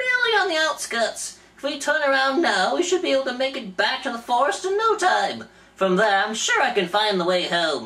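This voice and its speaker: Someone uses a put-on character voice at a high pitch and a moderate pace. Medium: read story. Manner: fussy, pouty.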